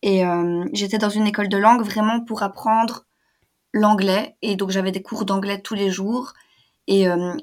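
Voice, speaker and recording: A woman with an unremarkable speaking voice and medium pitch talks with fairly even intonation on a very clean recording with a silent background. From Belgium. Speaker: language student, travel guest. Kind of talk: casual interview.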